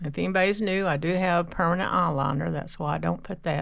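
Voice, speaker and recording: A woman with a fairly low pitch talks with vocal fry. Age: 60s. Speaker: makeup vlogger. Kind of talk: casual get-ready-with-me tutorial. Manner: rambling, conversational.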